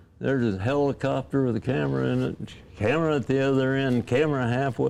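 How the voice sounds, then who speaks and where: A man's medium-pitched voice at a very fast pace, with ordinary pitch variation, very even loudness and noticeable background noise. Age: 90s. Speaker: drag racing driver and team owner. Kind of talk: interview reminiscing.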